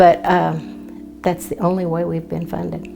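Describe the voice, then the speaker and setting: With an American accent, a woman talks over music in the background. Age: 80s+. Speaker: retired nurse. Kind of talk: interview answer.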